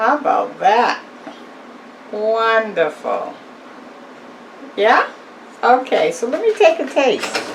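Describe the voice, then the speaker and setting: Over noticeable background noise, a high-pitched woman speaks very slowly, her pitch swinging very widely, with long, frequent pauses. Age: old. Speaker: home cook. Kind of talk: casual cooking demonstration to camera.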